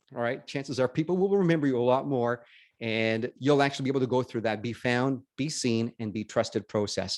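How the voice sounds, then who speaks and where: Against a quiet background, a man talks at a fairly quick pace in an animated tone. His medium pitch shows ordinary variation, and the sound is dry and close with no echo. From Canada, Northern Ontario. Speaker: business networking speaker. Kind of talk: webinar presentation.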